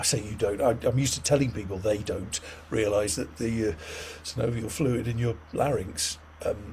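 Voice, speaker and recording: A moderate pace, somewhat breathy, with pitch varying in an ordinary way. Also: man, medium pitch for a man. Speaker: patient expert speaker. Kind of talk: online group discussion.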